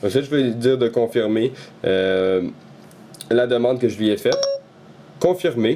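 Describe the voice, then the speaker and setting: A man with a Quebec accent, medium pitch and ordinary pitch variation, fairly slow, with long, frequent pauses. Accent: Québécois French. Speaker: tech YouTuber. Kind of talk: tutorial. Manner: hesitant, many fillers.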